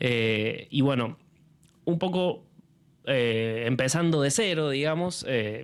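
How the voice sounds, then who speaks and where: A man's fairly high voice at a very slow pace, lively in intonation, very even in loudness, with long, frequent pauses. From Argentina. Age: 30s. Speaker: film curator and critic. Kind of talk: public talk presenting a film series. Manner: halting, many fillers and repetitions.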